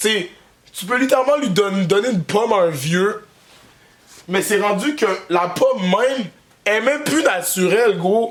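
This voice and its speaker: A man talks while noticeable background noise plays underneath. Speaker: comedian. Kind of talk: comedic vlog monologue. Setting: workshop. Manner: casual, halting with many fillers.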